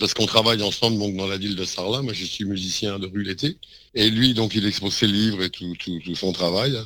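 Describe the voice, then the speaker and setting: A bright, sharp tone at a fairly quick pace, with fairly even intonation. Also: man, fairly low pitch for a man. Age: 60s. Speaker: street musician and composer. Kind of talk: interview.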